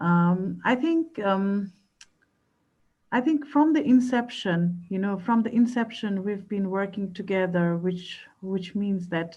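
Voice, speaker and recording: Very slowly, a woman speaks in a non-native accent at a medium pitch. Her tone is dark and mellow, and somewhat breathy. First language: not English. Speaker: researcher. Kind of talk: panel discussion.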